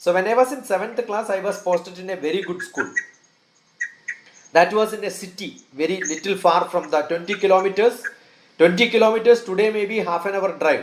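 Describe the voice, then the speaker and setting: A man with a Keralan accent, high-pitched, fairly quick, with ordinary pitch variation. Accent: Indian English, Malayali. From northern Kerala, India. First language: Malayalam. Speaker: scientist and educationalist. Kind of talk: interview.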